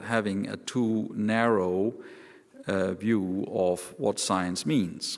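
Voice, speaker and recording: With a Danish accent, a man speaks at a fairly low pitch with ordinary pitch variation. The recording is very clean, with a silent background. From Denmark. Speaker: professor. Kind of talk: panel talk. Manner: halting.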